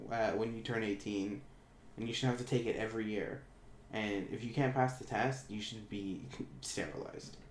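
With audible room echo, a man speaks at a fairly slow pace with a Canadian accent. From Ontario, Canada. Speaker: podcast co-host. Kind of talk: casual chat. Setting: home computer room.

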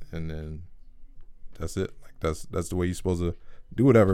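A man speaks with a very deep, low pitch. His pace is very fast. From US South, Georgia (Clayton County). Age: 20s. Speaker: college student. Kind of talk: casual chat.

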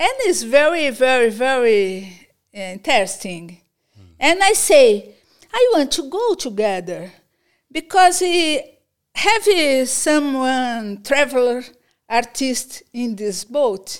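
The speaker has a Portuguese accent and a very slow pace, with very wide pitch swings. The recording is very clean, with a silent background. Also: woman, high pitch for a woman. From Brazil, São Paulo. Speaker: visual artist and teacher. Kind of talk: interview. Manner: halting.

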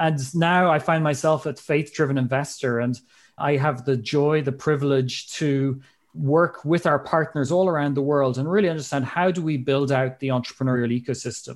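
On a very clean recording with a silent background, a man with an Irish accent speaks at a moderate pace, his fairly high pitch held in fairly even intonation. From Ireland. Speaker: public health specialist and investment team member. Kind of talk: casual interview.

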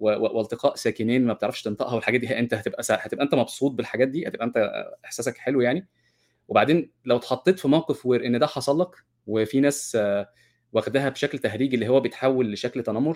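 Talking at a fairly quick pace, a man uses a medium pitch with ordinary pitch variation. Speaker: co-host, course organizer. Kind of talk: online class discussion with English terms mixed in. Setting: video call.

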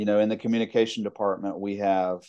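A man's fairly low-pitched voice with a Mississippi accent. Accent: Mississippi Southern US. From US South, Mississippi (Jackson area). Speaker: college instructor and storytelling event organizer. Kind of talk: casual interview.

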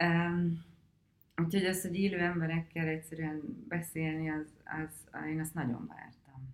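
Using a normal speaking voice, a woman talks at a fairly slow pace and fairly low pitch, with ordinary pitch variation. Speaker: film director. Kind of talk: interview.

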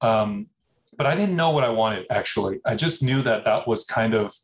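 A man talks at a fairly quick pace in a medium-pitched voice. He sounds somewhat breathy, with ordinary pitch variation. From US Midwest (Minnesota), later Bay Area. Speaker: food company CEO. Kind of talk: interview.

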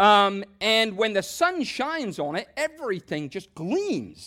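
In a raised, projected voice with a bright, sharp tone, a man speaks at a high pitch with very wide swings. The recording is very clean, the background silent. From southern England. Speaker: pastor. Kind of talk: sermon.

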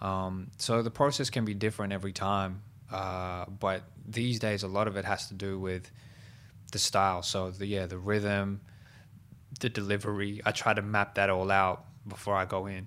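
A man with an Australian accent, fairly low in pitch and monotone and flat in intonation, on a very clean recording with a silent background. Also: moderate pace. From Southwest Sydney, Australia. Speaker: hip-hop artist. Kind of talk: casual chat.

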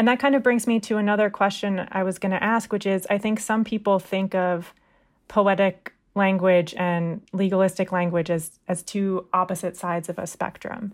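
Over a silent background on a very clean recording, a woman with a normal speaking voice talks at a moderate pace in a medium pitch with fairly even intonation. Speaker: magazine managing editor and podcast host. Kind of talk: interview.

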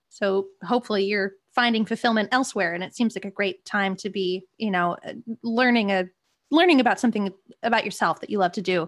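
A woman's normal speaking voice at a medium pitch, with ordinary pitch variation and a fairly quick pace. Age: 20s. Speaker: podcast co-host and comedy writer. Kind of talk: casual interview.

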